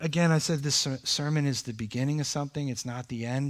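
On a very clean recording with a silent background, a man with an unremarkable speaking voice talks at a fairly quick pace, his pitch fairly high for a man with ordinary variation. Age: 50s. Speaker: pastor. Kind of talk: sermon. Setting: church.

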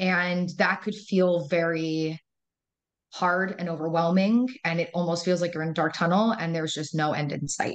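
This woman, with an American accent, has an unremarkable speaking voice, fairly low in pitch, at a moderate pace. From United States and Israel. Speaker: educator. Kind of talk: interview.

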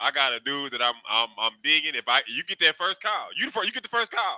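In a raised, projected voice with a bright, sharp tone, a man talks at a very fast pace with very wide pitch swings, the sound dry and close with no echo. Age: 40s. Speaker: podcast co-host. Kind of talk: casual chat.

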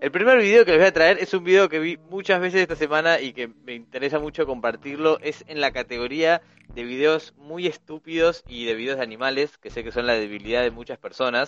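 A man with a Rioplatense accent talks at a fairly quick pace and fairly high pitch, with hardly any pauses and big swings in loudness, in a dry, close sound with no echo. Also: lively intonation. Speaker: podcast panelist. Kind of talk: casual chat.

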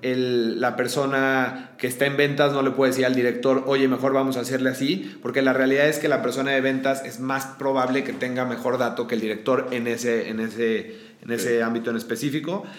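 A man's medium-pitched voice with a Mexican accent and fairly even intonation, amid audible room echo and noticeable background noise. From Mexico, León, Guanajuato. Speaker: founder of a boot brand. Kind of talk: interview. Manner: hesitant, many fillers.

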